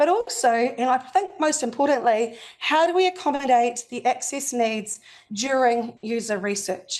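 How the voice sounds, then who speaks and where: Against a quiet background, a woman speaks with a New Zealand accent and a high pitch. Her pace is fairly slow and her intonation lively. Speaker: UX accessibility consultant. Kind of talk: presentation to a meetup audience.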